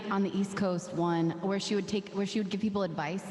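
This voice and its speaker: Over noticeable background noise, a woman speaks at a very fast pace with a medium pitch and fairly even intonation. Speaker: singer-songwriter. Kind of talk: casual chat. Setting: livestream.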